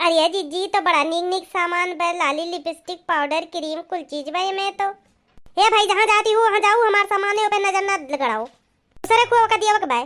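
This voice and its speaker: The voice sounds female, done as a cartoonish character voice at an extremely high pitch. It moves at a moderate pace. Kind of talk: comic rustic dialect chatter. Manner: chatty, quarrelsome.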